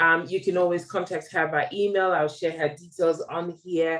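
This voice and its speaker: A woman with a British accent speaks in a fairly low pitch. Her pace is fairly slow. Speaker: diabetes platform founder and interviewer. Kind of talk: interview. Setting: video call. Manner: animated.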